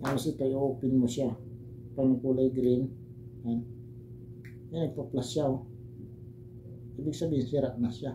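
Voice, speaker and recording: A man's voice at medium pitch. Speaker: herbal remedy vlogger. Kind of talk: tutorial. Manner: casual, hesitant. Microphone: broken mic, voice too quiet.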